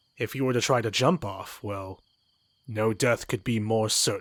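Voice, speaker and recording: A man's put-on character voice, medium in pitch, at a moderate pace, on a very clean recording with a silent background. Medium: game stream. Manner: formal, old-fashioned phrasing; knowing, wry.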